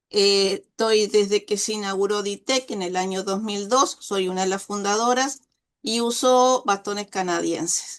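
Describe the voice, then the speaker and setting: A woman speaks fairly slowly in a medium-pitched voice. Her intonation is fairly even against a quiet background. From Uruguay, Dolores (Soriano). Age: 60s. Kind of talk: interview.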